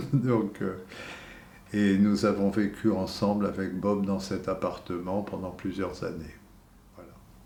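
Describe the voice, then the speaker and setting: Speech comes at a very slow pace with long, frequent pauses and monotone, flat intonation. Loudness swings widely, and room echo is audible. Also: man, fairly low pitch for a man. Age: 70s. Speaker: retired museum security guard. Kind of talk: testimony. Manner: halting, many hesitations.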